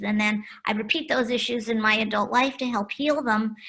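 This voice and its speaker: With an ordinary speaking voice, a woman talks at a moderate pace, her fairly high pitch carrying fairly even intonation. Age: 60s. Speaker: diversity trainer and author. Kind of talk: interview conversation.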